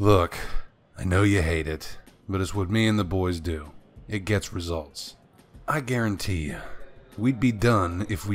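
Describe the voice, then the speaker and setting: Putting on a gruff character voice, a man speaks very deep and low at a fairly slow pace with ordinary pitch variation, with music in the background. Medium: audio drama. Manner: gruff, matter-of-fact about violence; calm, firm, quietly menacing.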